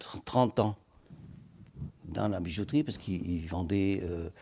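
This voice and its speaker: A man's dark, mellow tone at a very slow pace. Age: 70s. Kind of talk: TV interview. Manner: halting.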